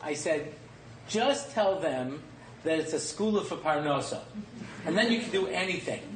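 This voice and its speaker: Against noticeable background noise and audible room echo, a high-voiced man talks at a moderate pace with lively intonation and long, frequent pauses. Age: 50s. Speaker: rabbi and lecturer. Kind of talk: lecture. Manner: animated.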